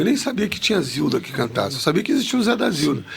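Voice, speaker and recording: The voice belongs to a man. His pitch swings very widely. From Rio de Janeiro suburbs, Madureira. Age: 60s. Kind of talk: podcast interview storytelling.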